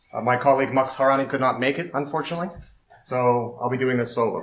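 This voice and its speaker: A man at a very fast pace, with audible room echo. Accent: Canadian. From Canada. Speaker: security researcher. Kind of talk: conference talk.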